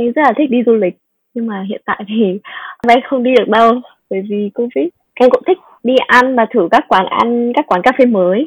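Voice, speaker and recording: A woman's voice is high in pitch. She speaks at a moderate pace with ordinary pitch variation. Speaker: business analyst. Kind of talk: interview.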